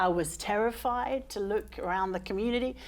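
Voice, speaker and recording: A woman speaks with an English accent at a medium pitch. Her pace is moderate and her pitch variation ordinary. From England, London. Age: 40s. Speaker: case manager for homeless people. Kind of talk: talk show interview. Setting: studio with audience.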